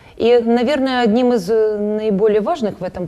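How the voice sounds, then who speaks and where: Her pace is fairly slow. The woman's voice is fairly high in pitch. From Ukraine, Dnipropetrovsk. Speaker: painter. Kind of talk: TV interview. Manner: halting, many fillers.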